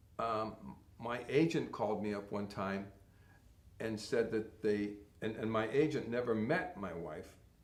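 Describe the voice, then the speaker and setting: A man with an American accent, fairly low-pitched, at a fairly slow pace with long, frequent pauses and audible room echo. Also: ordinary pitch variation. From Connecticut, US. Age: 60s. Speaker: model and actor. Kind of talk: interview.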